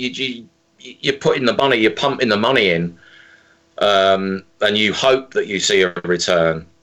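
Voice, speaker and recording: A man with an English accent speaks at a moderate pace and medium pitch. His tone is bright and sharp, with ordinary pitch variation. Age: 50s. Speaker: singer-songwriter and drummer. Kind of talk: interview. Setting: phone call.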